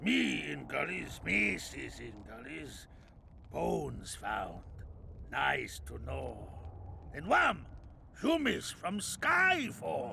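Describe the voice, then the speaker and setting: A put-on character voice at a very slow pace, with long, frequent pauses and clear background noise. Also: man. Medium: video game. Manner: dry, terse.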